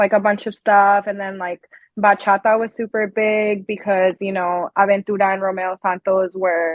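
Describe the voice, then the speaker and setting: Someone speaks with a Spanish accent at a moderate pace. The intonation is monotone and flat. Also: woman. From Colombia, raised in New Jersey from kindergarten. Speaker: singer and musician. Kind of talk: interview. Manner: casual, filler-heavy.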